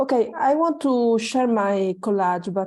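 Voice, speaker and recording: A woman speaks in a fairly high pitch with a dark, mellow tone and ordinary pitch variation. The background is quiet. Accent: Italian. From Italy. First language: Italian. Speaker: workshop participant. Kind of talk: sharing in online group. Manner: halting, many fillers.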